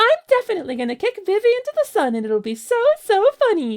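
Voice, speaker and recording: A put-on character voice, extremely high-pitched, racing at a very fast pace with very wide pitch swings. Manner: scheming, comedic.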